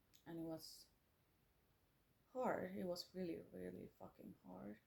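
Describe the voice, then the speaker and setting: A woman speaks with a Finnish accent at a fairly slow pace. She takes long, frequent pauses. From Finland. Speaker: musician and artist, former psychiatric nurse. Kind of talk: personal vlog monologue. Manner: halting, many fillers.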